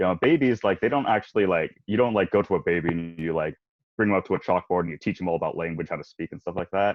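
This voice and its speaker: Talking at a very fast pace, a man with an American accent has a very deep, low pitch and ordinary pitch variation. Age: 20s. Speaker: college student and voice actor guest. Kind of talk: casual podcast chat. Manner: conversational, many fillers.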